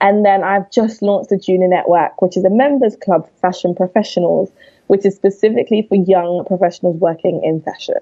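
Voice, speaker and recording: A woman's medium-pitched voice in a London accent, fairly quick and fairly even in intonation. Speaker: fashion entrepreneur. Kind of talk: interview.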